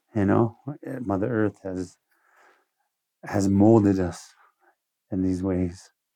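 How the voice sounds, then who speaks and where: In a Lakota accent, a man speaks at a very slow pace with long, frequent pauses, a fairly low pitch, fairly even intonation and a dark, mellow tone. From Standing Rock Reservation, South Dakota. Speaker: spiritual leader and veteran. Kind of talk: interview.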